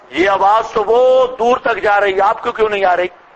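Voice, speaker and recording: There is noticeable background noise as a man talks at a high pitch. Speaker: Islamic scholar giving Quran commentary. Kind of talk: religious lecture. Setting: lecture hall with loudspeaker. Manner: animated.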